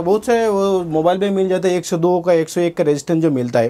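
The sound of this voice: A man's high voice with a dark, mellow tone, ordinary pitch variation, and a fairly quick pace.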